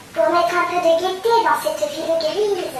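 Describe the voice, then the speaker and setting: A woman performs a put-on character voice at an extremely high pitch, keeping fairly even intonation and a moderate pace. Clear background noise and a slight echo surround her. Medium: read story.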